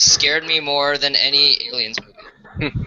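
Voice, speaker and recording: A man's fairly high voice with fairly even intonation, set against noticeable background noise. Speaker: gamer joining stream. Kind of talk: casual chat. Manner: fast.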